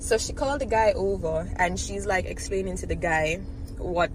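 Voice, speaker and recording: The speaker has an animated tone. Noticeable background noise and audible room echo fill the recording. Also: woman. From Jamaica. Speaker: YouTuber. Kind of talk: casual storytelling vlog.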